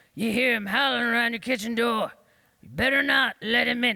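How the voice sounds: A man's put-on character voice, gruff and growling, raised and projected at an extremely high pitch, with a fairly quick pace and fairly even intonation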